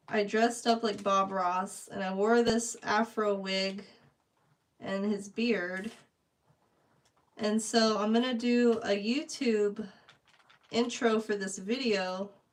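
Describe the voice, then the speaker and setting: A quiet woman's voice, fairly high, very slow, with fairly even intonation and long, frequent pauses. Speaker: painting livestreamer. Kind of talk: casual livestream chat. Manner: trying to talk quieter.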